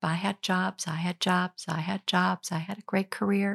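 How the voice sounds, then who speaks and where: The recording is very clean with a silent background, carrying a woman's medium-pitched voice. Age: 50s. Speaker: retired pastor. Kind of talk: interview. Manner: halting.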